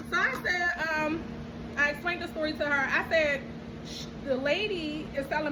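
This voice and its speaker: With an American accent, a woman uses a raised, projected voice amid noticeable background noise and audible room echo. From Baltimore, Maryland. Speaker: vlogger. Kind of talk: storytelling. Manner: casual, animated.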